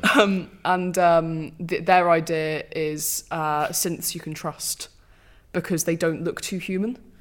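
Speaking very slowly with fairly even intonation, a woman with a British accent comes through on a very clean recording with a silent background. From Britain. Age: 20s. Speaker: film podcast host. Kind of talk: casual chat.

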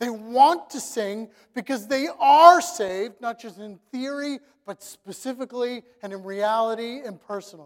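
Pitched extremely high for a man, this man speaks at a moderate pace with ordinary pitch variation and big swings in loudness. The recording is very clean, with a silent background. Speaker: pastor. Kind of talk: sermon; guided prayer, inviting listeners to close their eyes and reflect quietly. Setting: church. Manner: conversational, casual, joking.

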